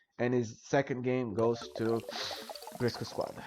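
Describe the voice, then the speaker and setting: A man's voice over noticeable background noise. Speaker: esports caster. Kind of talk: live commentary. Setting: live stream.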